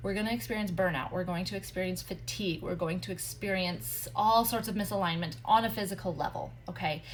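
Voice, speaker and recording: A woman with a fairly low pitch, vocal fry and lively intonation, talking at a fairly quick pace with hardly any pauses amid audible room echo. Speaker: human design coach. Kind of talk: live stream teaching. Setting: social media livestream. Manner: fast; animated.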